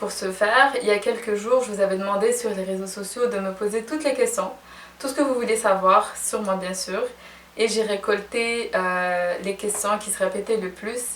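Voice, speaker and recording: A woman's plain, everyday voice at a moderate pace, with fairly even intonation. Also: fairly high pitch for a woman, big swings in loudness. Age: 20s. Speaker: fashion and beauty blogger. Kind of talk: casual vlog Q&A.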